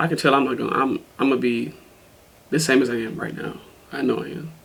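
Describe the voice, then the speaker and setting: Amid audible room echo, a man rattles along at a very fast pace in a medium pitch with fairly even intonation. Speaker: reaction video co-host. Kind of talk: casual chat.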